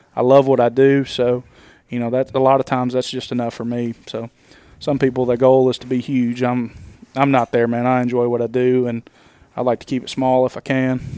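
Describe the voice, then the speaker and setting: A man with a Southern US accent talks at a fairly quick pace in a medium pitch, his dark, mellow tone held to flat, monotone intonation in a dry, close recording with no echo. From US South, Nashville, Tennessee. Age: 30s. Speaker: lawn care business owner. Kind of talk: casual chat. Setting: hotel room.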